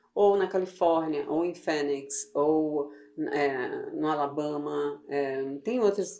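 Each word comes out very slowly, with pitch moving in an ordinary way. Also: woman. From Brazil, Goiás (Goiânia). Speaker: immigration legal services business owner. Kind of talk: casual interview.

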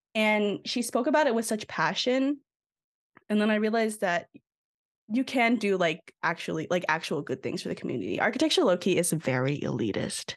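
A woman's fairly high voice with vocal fry and very wide pitch swings, at a fairly quick pace. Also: quiet background. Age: 20s. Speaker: podcast co-host, architecture student. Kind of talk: casual chat.

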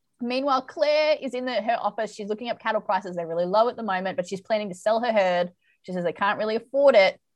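Against a quiet background, a woman in an Australian accent speaks very fast at a medium pitch with ordinary pitch variation. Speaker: podcast host and romance author. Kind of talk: casual chat.

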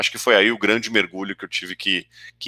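The man's bright, sharp tone comes through in a dry, close sound with no echo. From interior of São Paulo state, Brazil. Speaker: venture capital investor. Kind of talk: interview.

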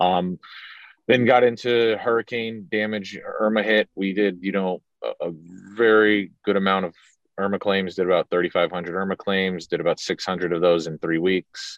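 Fairly low-pitched male speech, a plain, everyday voice, moderate in pace with fairly even intonation. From South Florida. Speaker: public adjuster, company co-founder. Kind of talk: casual interview.

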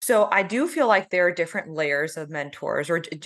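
A woman with an American accent speaks at a moderate pace and a fairly low pitch. She has an ordinary speaking voice over a quiet background. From US South, South Georgia (Valdosta). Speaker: dermatologist. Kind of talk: podcast interview.

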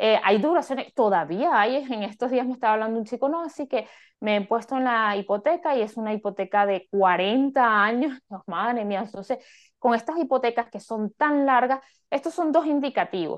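A woman's normal speaking voice, fairly high in pitch, moderate in pace, with lively intonation. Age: 40s. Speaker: finance coach. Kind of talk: interview.

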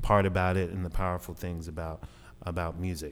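In a Southern US accent, a man speaks with a very deep, low pitch in a flat monotone, captured in a very clean recording with a silent background. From Southeast Arkansas, US South. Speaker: jazz musician. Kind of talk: interview. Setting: radio studio.

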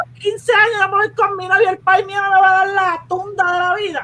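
A woman calls out in a raised, projected voice at an extremely high pitch. Her tone is bright and sharp. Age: 30s. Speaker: parent. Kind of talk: casual chat.

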